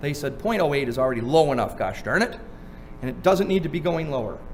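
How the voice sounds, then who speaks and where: Heard with audible room echo and noticeable background noise, a man speaks in a fairly high pitch. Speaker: seminar speaker on drunk driving law. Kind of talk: seminar lecture. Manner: fast; animated.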